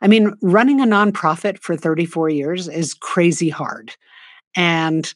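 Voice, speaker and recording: In a very clean recording with a silent background, a woman uses a plain, everyday voice, fairly low in pitch with ordinary pitch variation, at a fairly slow pace. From US, New York City. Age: 60s. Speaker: nonprofit co-founder and author. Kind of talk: interview.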